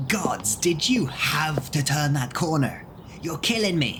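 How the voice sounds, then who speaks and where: A man puts on a character voice, fairly high in pitch and fairly slow, over clear background noise. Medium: audio drama.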